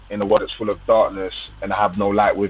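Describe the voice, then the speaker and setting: Someone with a London accent speaks over noticeable background noise. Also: man. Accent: London English (MLE). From London, England. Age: 20s. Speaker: gospel drill rapper. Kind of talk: interview. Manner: casual.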